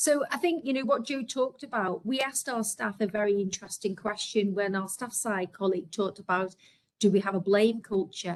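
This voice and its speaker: With a Liverpool accent, a woman speaks at a medium pitch with ordinary pitch variation. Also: fairly quick pace. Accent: Scouse. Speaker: healthcare executive. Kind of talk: webinar presentation.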